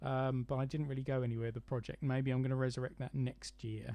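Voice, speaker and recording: In a southern English accent, a man speaks with a dark, mellow tone. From London area, England. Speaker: model railway YouTuber. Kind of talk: live stream chat. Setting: live stream from home. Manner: hesitant, many fillers.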